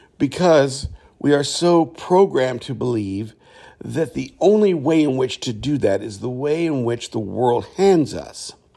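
A man's medium-pitched, dark and mellow voice, fairly slow in pace, with lively intonation. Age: 50s. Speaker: podcast host. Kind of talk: casual spiritual monologue. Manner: halting.

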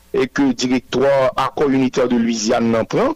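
A man speaks very slowly at medium pitch with ordinary pitch variation, the sound dry and close with no echo but with noticeable background noise. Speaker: political group spokesperson. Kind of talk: news interview.

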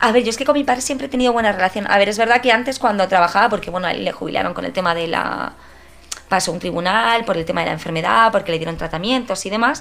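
A woman at a medium pitch, with lively intonation and a very fast pace, over noticeable background noise. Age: 30s. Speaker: teacher. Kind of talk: casual interview.

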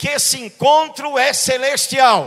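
A man speaks in an extremely high pitch with a raised, projected voice. His tone is bright, sharp and animated. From Brazil, Recife (Pernambuco). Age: 60s. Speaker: pastor. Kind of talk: sermon.

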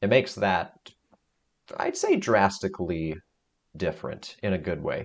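With a playful tone, a man speaks at a moderate pace, leaving long, frequent pauses. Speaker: podcast co-host. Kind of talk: casual chat. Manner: joking, playful.

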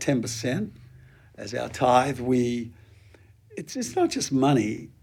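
A man with a New Zealand accent speaks at a fairly slow pace in a dark, mellow tone. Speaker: pastor. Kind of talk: interview.

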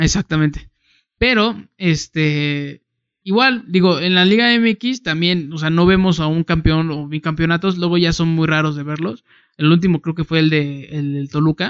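Against a quiet background, a man with a Mexican accent speaks at a fairly slow pace in a fairly high pitch with ordinary pitch variation. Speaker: sports podcast co-host. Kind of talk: casual chat.

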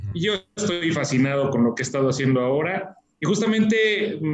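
At a moderate pace, a man talks with lively intonation in an unremarkable speaking voice pitched fairly high. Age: 30s. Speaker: real estate company executive. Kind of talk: interview.

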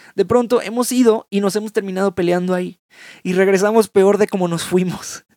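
A man speaks with a high pitch and fairly even intonation. His sound is dry and close, with no echo. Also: fairly quick pace. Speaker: podcast host. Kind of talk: casual reflective monologue. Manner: halting.

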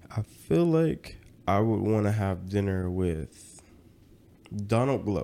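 Speaking at a very slow pace with long, frequent pauses, a man with a Southern US accent has a fairly low pitch, a dark, mellow tone and very even loudness. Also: lively intonation. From US South, rural Georgia. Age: 20s. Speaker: social media content creator. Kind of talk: casual chat.

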